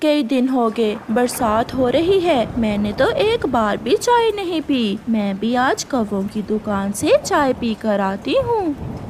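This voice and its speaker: In a cartoonish character voice, a female-sounding speaker with a high pitch keeps a moderate pace and hardly pauses, with clear background noise behind her. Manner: chatty, expressive.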